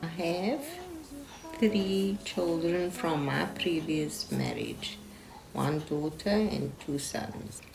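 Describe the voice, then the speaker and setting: A very slow pace amid audible room echo and noticeable background noise. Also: woman. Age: 50s. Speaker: foster parent. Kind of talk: interview.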